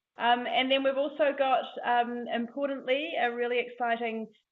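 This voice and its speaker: A woman speaks with a New Zealand accent at a fairly high pitch. Her pace is moderate. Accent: New Zealand, a little stronger than usual. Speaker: academic seminar host. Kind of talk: seminar introduction. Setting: lecture room with audience. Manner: hesitant with many fillers.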